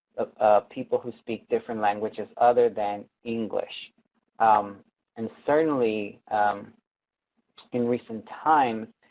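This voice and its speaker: A man's medium-pitched voice with an American accent, at a fairly slow pace and with fairly even intonation. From Texas. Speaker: advocate and trainer. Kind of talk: webinar presentation. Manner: halting, many fillers.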